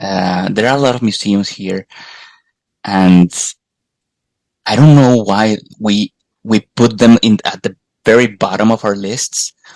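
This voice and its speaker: With a Colombian accent, a man speaks at a fairly slow pace in a fairly low pitch, with fairly even intonation and long, frequent pauses. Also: dry, close sound with no echo. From Colombia, Bogota. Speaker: podcast host guest. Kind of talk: casual chat. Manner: halting, repeats words.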